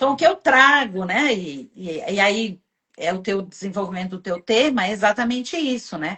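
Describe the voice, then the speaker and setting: A woman talks at a moderate pace and medium pitch. Her intonation is lively. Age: 60s. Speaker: live show host. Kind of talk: casual chat. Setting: live stream.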